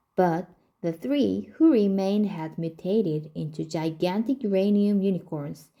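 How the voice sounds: A natural reading voice with ordinary pitch variation.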